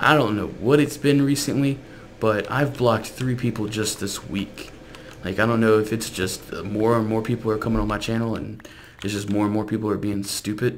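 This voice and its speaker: Fairly quick speech from a man with an American accent, fairly low pitch and fairly even intonation, with audible room echo. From South Louisiana. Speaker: gaming YouTuber. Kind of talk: casual gameplay commentary.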